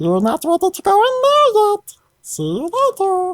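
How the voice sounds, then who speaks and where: The put-on character voice is squeaky and extremely high-pitched, delivered at a moderate pace. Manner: sweetly teasing.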